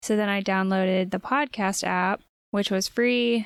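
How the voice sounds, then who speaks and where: Over a very clean recording with a silent background, a woman speaks softly at a medium pitch. The sound is dry and close, with no echo. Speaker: podcast co-host. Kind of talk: casual chat. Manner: soft-spoken; quiet.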